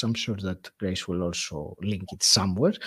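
In a very clean recording with a silent background, a man speaks with a Greek accent. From Greece. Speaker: podcast host. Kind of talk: interview storytelling.

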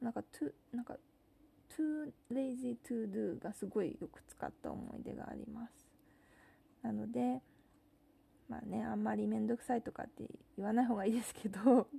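In a relaxed tone and at a moderate pace, a woman speaks with big swings in loudness and long, frequent pauses. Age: 30s. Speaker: podcast host. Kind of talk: casual monologue. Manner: relaxed, with many fillers.

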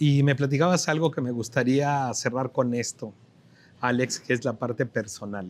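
A man with an unremarkable speaking voice, fairly even intonation and a moderate pace. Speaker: TV business show host. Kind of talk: TV interview show. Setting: on location in a restaurant plaza.

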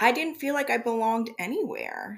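With ordinary pitch variation, an ordinary speaking voice proceeds fairly slowly. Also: woman. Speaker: podcast host. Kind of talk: casual chat.

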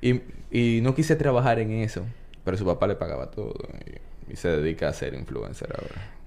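A man with a Dominican accent speaks at a fairly quick pace. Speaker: podcast host. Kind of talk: casual chat.

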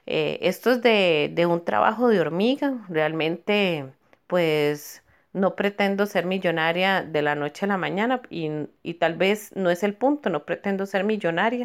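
A woman at medium pitch, fairly slow in pace, with lively intonation, on a very clean recording with a silent background. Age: 40s. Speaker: dental technician and small food business owner. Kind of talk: testimony. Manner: halting, many fillers and repetitions.

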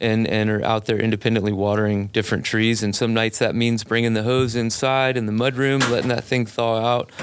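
A man with an American accent at a fairly quick pace, medium in pitch with fairly even intonation, over noticeable background noise. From US South, Biloxi, Mississippi. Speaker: arborist, tree care business owner. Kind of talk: casual interview. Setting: studio.

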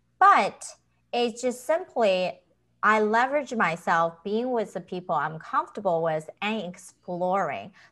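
A woman with a Chinese accent at a fairly slow pace, in a very clean recording with a silent background. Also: medium pitch for a woman, lively intonation. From China. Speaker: author and health professional. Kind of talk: interview.

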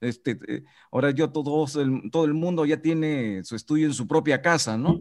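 A man's lively intonation at a fairly slow pace. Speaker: radio announcer and teacher. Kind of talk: casual chat. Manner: hesitant, many fillers.

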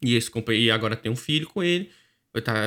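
A man talks with a Brazilian accent at a medium pitch, with ordinary pitch variation. His tone is bright and sharp, and the recording is very clean with a silent background. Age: 20s. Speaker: podcast co-host. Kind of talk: casual chat.

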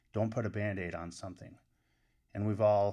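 A man with an American accent, fairly low in pitch, monotone and flat in intonation, at a moderate pace over a quiet background. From upstate New York. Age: 40s. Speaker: college wrestling coach. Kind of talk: podcast interview.

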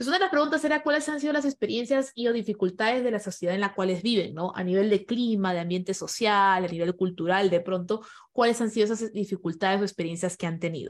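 A woman's medium-pitched voice, very fast, lively in intonation, with hardly any pauses. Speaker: podcast host and event moderator. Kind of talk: online panel moderation. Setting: video call.

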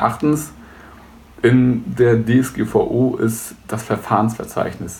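Very slowly, a man speaks at medium pitch with ordinary variation and vocal fry. Audible room echo hangs around his words. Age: 20s. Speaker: web services entrepreneur. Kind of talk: tutorial.

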